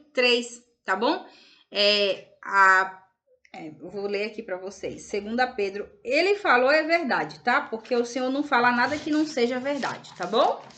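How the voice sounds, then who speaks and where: A woman's fairly high voice with a bright, sharp tone and lively intonation. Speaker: religious video host. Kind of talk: casual religious talk to camera. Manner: halting.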